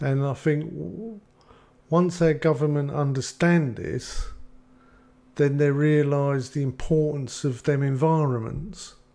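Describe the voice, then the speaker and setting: With an English accent, a man speaks at a fairly high pitch in a dark, mellow tone. His pace is very slow, with ordinary pitch variation. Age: 50s. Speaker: addiction recovery counsellor. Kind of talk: casual chat.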